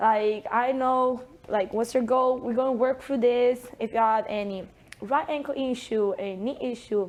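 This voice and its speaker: This woman has a high voice. She talks at a fairly slow pace. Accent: strong Italian. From Italy. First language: Italian. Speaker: sports performance coach. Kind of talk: interview.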